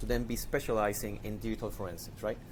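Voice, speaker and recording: In a Spanish accent, a man speaks at a fairly quick pace and a fairly low pitch. His intonation is fairly even, with vocal fry. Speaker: digital forensics investigator. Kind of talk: podcast interview. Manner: hesitant, repeats words.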